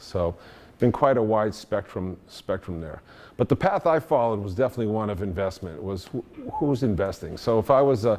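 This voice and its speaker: Speaking with a strong Boston accent, a man uses a fairly low pitch and lively intonation at a fairly quick pace. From Boston area, US. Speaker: engineering consultant and industry veteran. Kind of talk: talk to an audience. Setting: meetup talk with audience. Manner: halting, many fillers.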